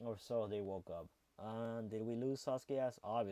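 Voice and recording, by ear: This is someone reading aloud. The voice is natural.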